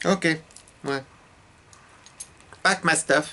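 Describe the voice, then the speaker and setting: A man speaks with a slight French accent and lively intonation. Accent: light French. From France. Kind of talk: casual storytelling to camera.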